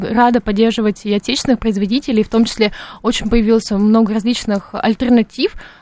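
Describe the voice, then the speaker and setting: Here is a woman with an unremarkable speaking voice and a fairly high pitch. She speaks at a fairly quick pace. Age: 20s. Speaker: political science student. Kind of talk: radio panel discussion.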